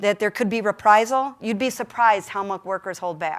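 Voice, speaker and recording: Delivery is very fast. An American accent comes through. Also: woman. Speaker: union leader. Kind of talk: keynote speech. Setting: conference stage with audience.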